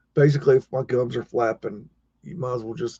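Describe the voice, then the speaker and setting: This man's medium-pitched voice has a dark, mellow tone and a somewhat breathy quality, moving at a fairly quick pace in a dry, close sound with no echo. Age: 40s. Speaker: live stream host. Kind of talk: casual chat. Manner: halting.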